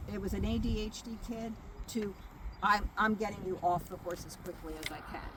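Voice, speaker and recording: A woman at medium pitch and a fairly quick pace, with fairly even intonation, big swings in loudness, audible room echo and noticeable background noise. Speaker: riding therapy mentor trainer. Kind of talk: training talk to volunteers.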